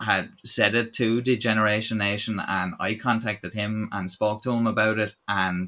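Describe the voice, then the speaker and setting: With an Irish accent, a man talks in a fairly low, flat monotone, hardly pausing at all. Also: moderate pace. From Ireland. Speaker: YouTube channel host. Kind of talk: live stream chat. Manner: casual, halting with fillers.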